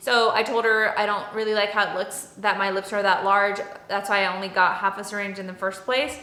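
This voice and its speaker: A woman with a Texan accent and a medium pitch, amid noticeable background noise. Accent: Texan American English. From Dallas, Texas. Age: 30s. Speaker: beauty and lifestyle vlogger. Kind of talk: casual talk to camera.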